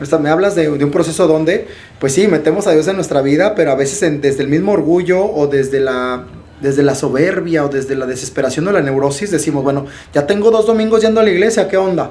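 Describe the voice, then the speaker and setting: Speaking very fast with an animated tone, a man with a fairly high pitch keeps his loudness very even and uses ordinary pitch variation, with audible room echo around him. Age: 30s. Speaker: podcast host and life coach. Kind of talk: interview conversation.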